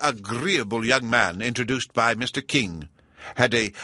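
With ordinary pitch variation, the text is delivered by reading aloud in a natural voice.

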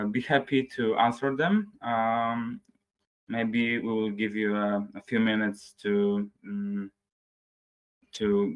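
A man with a Polish accent talks in a fairly low pitch with fairly even intonation. The background is quiet. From Poland. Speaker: webinar moderator. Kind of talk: webinar moderation. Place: home room.

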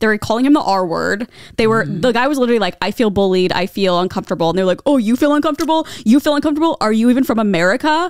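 Against a quiet background, a woman talks at a very fast pace with hardly any pauses and very wide pitch swings, in a dry sound with no echo. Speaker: podcast co-host. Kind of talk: casual podcast chat, storytelling. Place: studio. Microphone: handheld.

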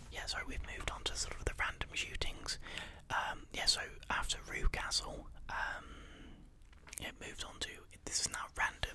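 A man whispering at a moderate pace. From England. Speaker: ASMR creator. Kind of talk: soft-spoken true crime ASMR narration. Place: home room. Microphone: studio mic.

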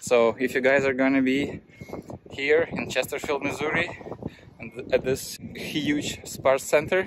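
This man speaks at a fairly slow pace. His pitch is medium and his intonation fairly even.

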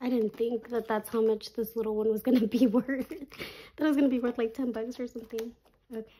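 Fairly quick and fairly high, a woman's voice has a dark, mellow tone. Her intonation remains fairly even. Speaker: budgeting YouTuber. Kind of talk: casual chat, cash stuffing tutorial. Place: home room. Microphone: phone near.

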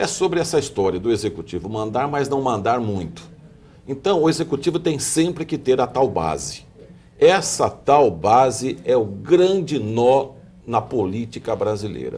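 A man's dark, mellow voice carries vocal fry. His pace is fairly slow, with very wide pitch swings. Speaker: TV host. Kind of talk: televised political panel discussion. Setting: TV studio. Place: studio. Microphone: lapel.

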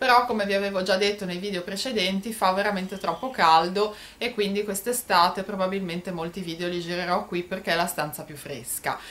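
A woman's plain, everyday voice, medium in pitch, fairly quick, with ordinary pitch variation. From Italy, Genoa. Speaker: YouTuber. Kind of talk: product haul vlog. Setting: bedroom at home. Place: home room. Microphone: phone near.

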